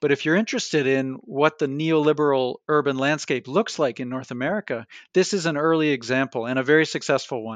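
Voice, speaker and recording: An unremarkable speaking voice with a Canadian accent moves at a fairly quick pace, dry and close with no echo against a quiet background. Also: man. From Canada, Toronto. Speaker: history professor and author. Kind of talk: interview. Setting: remote call from his office.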